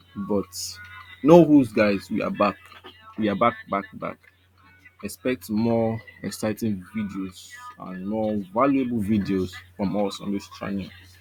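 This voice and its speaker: A man's fairly low voice at a fairly slow pace, with ordinary pitch variation, long, frequent pauses and music in the background. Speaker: forex trading analyst. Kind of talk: market analysis video.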